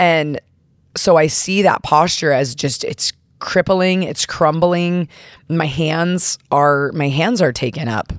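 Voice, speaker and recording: This woman speaks at a very slow pace, fairly low in pitch, with ordinary pitch variation. The recording is very clean, with a silent background. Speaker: podcast host and gym coach. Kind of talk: casual chat.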